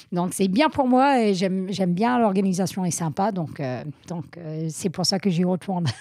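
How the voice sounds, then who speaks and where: A woman with a slight American accent and lively intonation. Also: medium pitch for a woman, moderate pace. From US Northeast, Vermont. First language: English (speaking French). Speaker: trail running athlete. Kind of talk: interview. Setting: in person recording in Chamonix. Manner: hesitant, many fillers.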